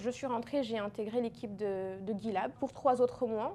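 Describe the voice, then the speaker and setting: Speaking at a moderate pace, a woman with a fairly high pitch has a dark, mellow tone and fairly even intonation. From Guinea. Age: 20s. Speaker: marketing and communications professional. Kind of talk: interview.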